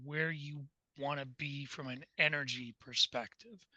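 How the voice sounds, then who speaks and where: A man's fairly high voice has a bright, sharp tone, recorded dry and close with no echo. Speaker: panel participant. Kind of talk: panel discussion. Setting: video call. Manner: halting.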